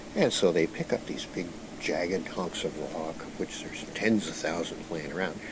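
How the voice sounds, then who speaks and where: Over noticeable background noise, a man with a very deep, low voice talks at a moderate pace with fairly even intonation. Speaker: storyteller recounting channeled information. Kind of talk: storytelling monologue.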